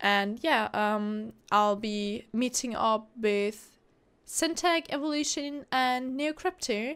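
On a very clean recording with a silent background, a woman with a fairly high pitch speaks at a very slow pace with lively intonation. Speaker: gaming YouTuber. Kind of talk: casual gameplay commentary.

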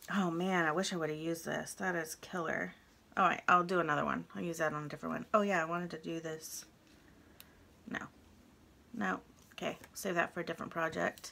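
With light background noise behind her, a woman speaks at a fairly quick pace in a fairly low pitch with a bright, sharp tone. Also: ordinary pitch variation. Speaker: crafting YouTuber. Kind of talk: casual craft tutorial vlog. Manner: chatty, thinking aloud. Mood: relaxed, chatty. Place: home room.

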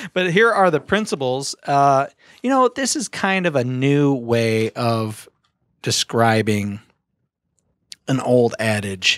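A man's fairly slow, lively-intoned delivery, with a dry sound, no echo and a quiet background. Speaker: podcast host. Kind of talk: podcast conversation, explaining a book. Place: studio. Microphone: studio mic.

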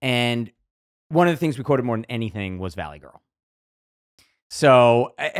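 Against a quiet background, the speaker moves at a moderate pace with lively intonation, long and frequent pauses, and big swings in loudness. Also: man, medium pitch for a man. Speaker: actor and podcast co-host. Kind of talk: casual podcast conversation. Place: studio. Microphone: studio mic.

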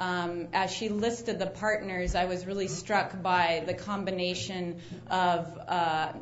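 Here a woman speaks in a plain, everyday voice. Her pitch is medium, with fairly even intonation. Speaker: nonprofit executive. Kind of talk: conference remarks. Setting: conference stage with audience.

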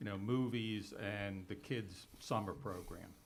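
A man's fairly low voice, fairly slow and fairly even in intonation, with audible room echo. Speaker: applicant representative. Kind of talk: public meeting presentation. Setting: township board meeting room. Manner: loud.

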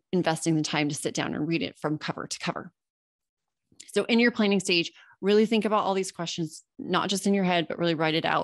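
Over a quiet background, a woman with a fairly low pitch and a Californian accent talks very fast in an animated tone with ordinary pitch variation. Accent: Californian American English. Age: 40. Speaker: copywriting coach and podcaster; copywriting coach, podcaster. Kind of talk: webinar presentation. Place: home room. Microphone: webcam.

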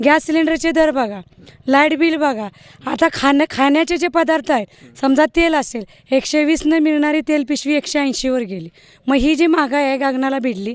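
A woman with a high pitch and ordinary pitch variation speaks in an animated tone, in a very clean recording with a silent background. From Maharashtra, Patan taluka (Satara). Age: 30s. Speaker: party supporter. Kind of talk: interview.

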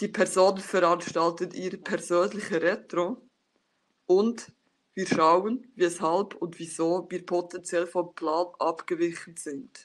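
Fairly even intonation marks this very slow speech. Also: woman, fairly low pitch for a woman. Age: 30s. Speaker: scrum master and agile coach; agile coach. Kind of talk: conference talk. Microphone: webcam.

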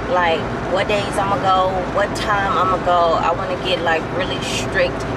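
A woman talks at a fairly slow pace through loud noise in the background. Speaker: vlogger. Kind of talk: casual vlog chat. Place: car. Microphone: phone near.

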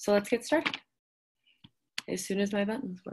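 Lively intonation carries over a quiet background. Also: woman. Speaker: presenter. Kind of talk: lecture. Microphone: video call.

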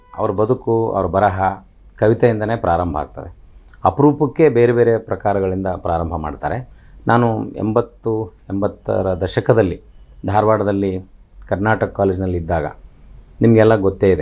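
Pitch shifts by a normal amount. The voice sounds mellow and dark. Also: man, fairly low pitch for a man. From northern Karnataka, India (Koppal district); Karnataka, India. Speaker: writer and college principal. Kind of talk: interview. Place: studio. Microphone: lapel.

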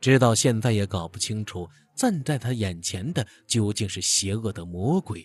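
With lively intonation, someone reads the words aloud in a natural voice.

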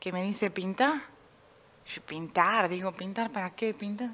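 A woman's medium-pitched voice, fairly slow and fairly even in intonation. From Argentina, Buenos Aires northern suburbs; Argentina. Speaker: painter; interviewee. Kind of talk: radio interview. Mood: reflective, personal. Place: stage. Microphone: studio mic.

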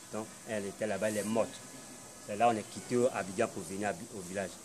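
Fairly low in pitch with ordinary variation, a man talks fairly quickly over noticeable background noise. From Côte d'Ivoire. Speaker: confessing deliverance subject. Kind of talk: testimony. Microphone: phone near.

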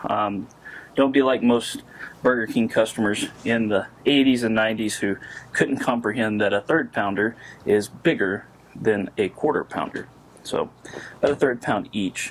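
Ordinary pitch variation from a man at a fairly slow pace. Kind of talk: cooking tutorial. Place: garden.

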